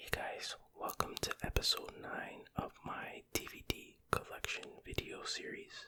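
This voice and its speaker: Whispering at a fairly slow pace with hardly any pauses, a man's voice shows big swings in loudness over noticeable background noise. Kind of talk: ASMR whispered rambling and reading. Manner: whispered, soft-spoken.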